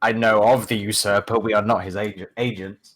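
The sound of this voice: A man does a put-on character voice that is guttural and raspy, fairly low in pitch, with monotone, flat intonation. He keeps a moderate pace on a very clean recording with a silent background.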